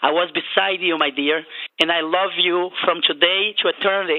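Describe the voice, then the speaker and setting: Speaking at a fairly low pitch, a woman talks with a Portuguese accent. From Brazil. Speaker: caller. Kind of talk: call-in comment.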